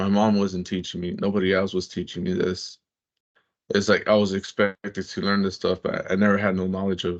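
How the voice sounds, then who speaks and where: Against a quiet background, a man with a fairly low pitch speaks at a moderate pace in a monotone, flat intonation. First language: Spanish. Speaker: peer mentor. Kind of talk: interview, personal testimony. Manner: halting, with frequent repeats.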